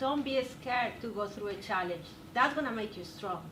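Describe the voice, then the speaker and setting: A woman with a non-native accent speaks at a moderate pace with a fairly high pitch and lively intonation. Noticeable background noise and audible room echo are present. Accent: noticeable foreign. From South America. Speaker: nutrition graduate, alumni panelist. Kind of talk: panel discussion. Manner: animated.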